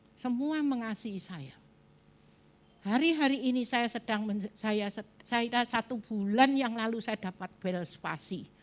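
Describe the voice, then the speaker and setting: A fairly high-pitched woman's voice at a very slow pace with lively intonation. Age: 70s. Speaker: pastor. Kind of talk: sermon.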